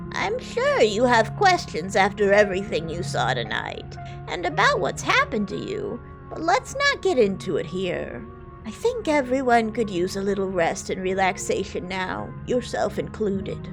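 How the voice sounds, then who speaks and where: A female-sounding voice performs a put-on character voice over clear music in the background. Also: moderate pace. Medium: game stream.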